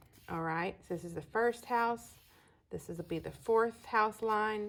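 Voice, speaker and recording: At a fairly slow pace, a woman with a Texas accent speaks at a medium pitch with ordinary pitch variation, in a very clean recording with a silent background. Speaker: astrology teacher. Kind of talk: lecture. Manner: casual, folksy.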